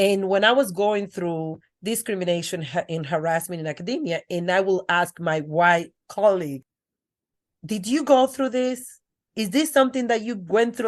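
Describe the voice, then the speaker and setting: Speaking in a strong Dominican accent at a moderate pace, a woman with a medium pitch uses lively intonation against a quiet background. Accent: thick Dominican Spanish. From Dominican Republic. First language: Spanish. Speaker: educator and author. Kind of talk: interview. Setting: podcast.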